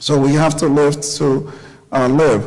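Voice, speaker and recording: A man with a fairly high-pitched voice is heard with audible room echo. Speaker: doctor. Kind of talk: lecture.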